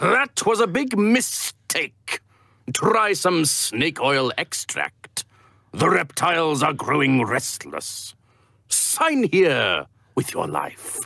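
Putting on a character voice, a man speaks at a very slow pace with a high pitch. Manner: smooth salesman patter, menacing.

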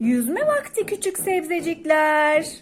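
A put-on character voice comes out squeaky. The pace is fairly slow. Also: woman. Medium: read story.

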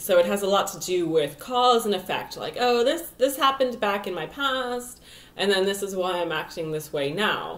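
Using an unremarkable speaking voice, a woman of medium pitch talks at a moderate pace with lively intonation. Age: 20s. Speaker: astrologer and vlogger. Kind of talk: casual vlog monologue. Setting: home video recording. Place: home room. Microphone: webcam.

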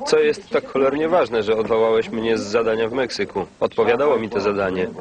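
Speaking very fast over noticeable background noise, this man has a medium pitch and ordinary pitch variation. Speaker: film voice-over reader. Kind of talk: film voice-over translation read.

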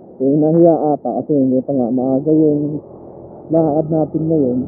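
Noticeable background noise sits behind a dry sound with no echo. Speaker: motovlogger rider. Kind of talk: casual vlog chat. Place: motorbike. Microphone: helmet.

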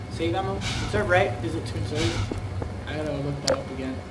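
Background noise in the clip is loud. Through it, a man's voice can be heard. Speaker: gamer. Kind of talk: casual let's-play gaming commentary. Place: home room. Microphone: headset.

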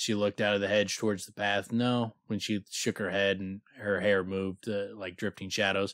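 Simply a natural reading voice

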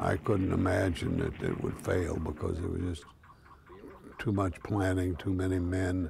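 Over noticeable background noise, a man talks at a fairly slow pace in a very deep, low voice with monotone, flat intonation. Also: dry sound with no echo. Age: 90s. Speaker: war veteran. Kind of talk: interview testimony. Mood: reflective, solemn. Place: garden.

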